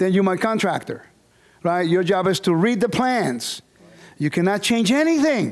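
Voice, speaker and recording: A man speaks with a high pitch and lively intonation. His loudness stays very even. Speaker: bible teacher. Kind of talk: lecture. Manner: fast.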